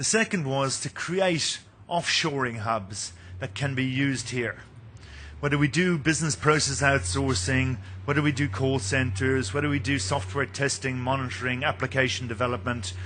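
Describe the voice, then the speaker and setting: A man with an Irish accent, medium pitch and lively intonation at a moderate pace, with audible room echo. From Ireland, Munster. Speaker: company executive presenting at a mining conference. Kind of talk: conference presentation.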